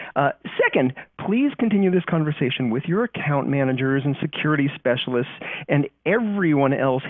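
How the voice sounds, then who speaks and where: A man with a Californian accent speaks at a fairly high pitch with lively intonation. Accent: California. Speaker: company trust strategist presenting webinar. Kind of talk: webinar briefing. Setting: recorded online webinar.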